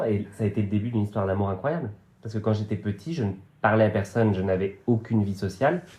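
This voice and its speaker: A man speaks at a very fast pace with a dark, mellow tone. His pitch sits fairly low, and his voice is somewhat breathy. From western France, Vendée countryside. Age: 30s. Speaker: actor and comedian. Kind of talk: casual podcast interview. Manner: hesitant, many fillers.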